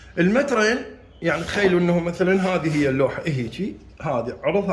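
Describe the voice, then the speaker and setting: Speaking with an Iraqi accent, a man uses a high pitch, lively intonation and a moderate pace. Noticeable background noise and audible room echo surround him. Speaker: carpenter and how-to video maker. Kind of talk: tutorial. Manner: halting, with repeated restarts.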